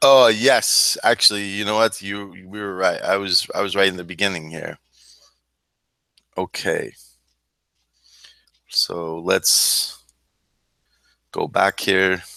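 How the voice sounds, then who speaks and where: Bright, sharp tone at a very slow pace, with long, frequent pauses and fairly even intonation. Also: man. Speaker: Bible study teacher. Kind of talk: Bible study class. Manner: casual, halting with fillers.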